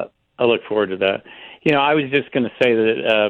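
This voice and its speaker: At a fairly quick pace, a man talks at medium pitch in an unremarkable speaking voice. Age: 60s. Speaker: radio caller. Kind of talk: call-in discussion. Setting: phone call.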